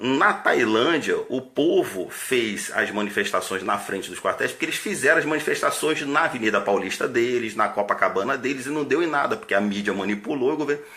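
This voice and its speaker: With lively intonation, the speaker talks at a fairly quick pace with hardly any pauses over noticeable background noise. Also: man, medium pitch for a man. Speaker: army officer. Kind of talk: political monologue.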